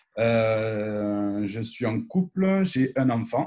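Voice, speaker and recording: Lively intonation marks this man's speech. His tone is dark and mellow. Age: 30s. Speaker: business guest. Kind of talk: self-introduction in live interview.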